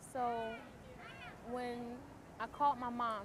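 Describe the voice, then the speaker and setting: A woman with a high voice talks amid noticeable background noise. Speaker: stroke survivor. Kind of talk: testimony. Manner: halting.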